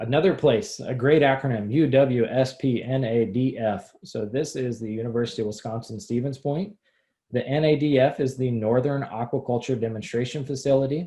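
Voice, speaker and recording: A somewhat breathy, dark, mellow voice with ordinary pitch variation over a quiet background. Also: man. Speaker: extension educator. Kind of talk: webinar presentation.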